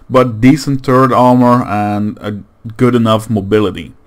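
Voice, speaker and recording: A man speaks at a fairly slow pace with a Dutch accent. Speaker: gaming YouTuber. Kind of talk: gameplay commentary outro. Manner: halting.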